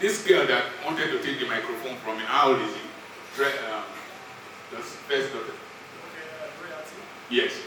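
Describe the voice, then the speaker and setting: A man talks at a moderate pace with long, frequent pauses and big swings in loudness. Noticeable background noise and audible room echo fill the recording. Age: 60s. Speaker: doctor and motivational speaker. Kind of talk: motivational speech at a birthday event.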